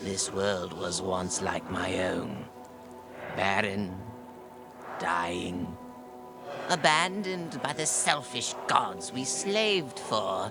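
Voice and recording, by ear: A man's put-on character voice, low-pitched with vocal fry and lively intonation, at a very slow pace with long, frequent pauses, over clear music in the background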